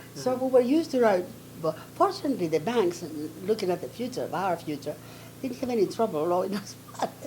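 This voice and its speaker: A woman talks very fast at a medium pitch, her voice swinging very widely up and down. Noticeable background noise is present. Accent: Greek. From Athens, Greece. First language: Greek. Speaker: retired dentist and dental professor. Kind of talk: oral history interview answer.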